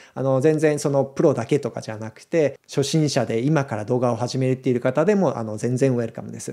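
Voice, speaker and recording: A man with a medium-pitched, dark and mellow voice speaks at a fairly quick pace with hardly any pauses and ordinary pitch variation, over a quiet background. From Japan. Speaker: video creator; video creator announcing a community. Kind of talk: casual announcement to viewers; casual explanatory talk to camera. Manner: conversational, frequent fillers. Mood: calm, friendly. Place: home room. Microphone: studio mic.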